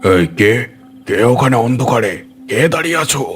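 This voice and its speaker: In a raspy, cartoonish character voice, a man speaks at a medium pitch with lively intonation. His pace is moderate, and faint music plays in the background. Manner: rustic, colloquial.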